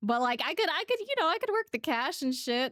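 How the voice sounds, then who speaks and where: A woman talks with a dry, close sound and no echo. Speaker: streamer reading chat. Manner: casual, rambling, many fillers.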